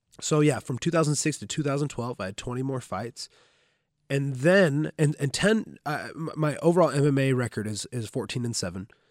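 A man with a plain, everyday voice speaks at a fairly high pitch and a moderate pace. His intonation is lively, and the sound is dry and close with no echo. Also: very clean recording, silent background. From Southern Oregon, US. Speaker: jiu-jitsu instructor and retired MMA fighter. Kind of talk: casual chat. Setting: gym.

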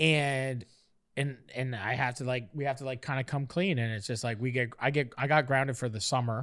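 In a plain, everyday voice of medium pitch, a man talks at a fairly quick pace with ordinary pitch variation on a very clean recording with a silent background. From Canada, Nova Scotia. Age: 30s. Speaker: podcast host and media personality. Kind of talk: casual storytelling chat. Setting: studio.

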